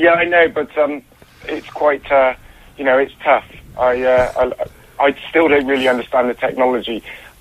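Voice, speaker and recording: There is noticeable background noise. A man with a fairly high pitch talks at a moderate pace with fairly even intonation. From Bristol. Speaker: caller. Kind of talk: casual chat. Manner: halting, hesitant.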